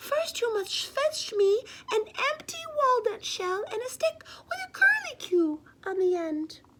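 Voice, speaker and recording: A woman uses a squeaky put-on character voice at an extremely high pitch. She speaks at a fairly slow pace. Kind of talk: bedtime story. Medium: read story. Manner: soft.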